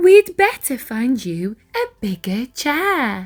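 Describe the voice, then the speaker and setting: In a put-on character voice, a woman speaks with a gentle tone at a high pitch, using very wide pitch swings at a very slow pace. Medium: read story. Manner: gentle, patient.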